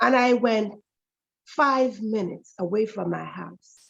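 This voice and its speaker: Fairly high in pitch, a woman talks with lively intonation and vocal fry. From Jamaica. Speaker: author and storyteller. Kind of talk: personal story told in interview. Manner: dramatic storytelling.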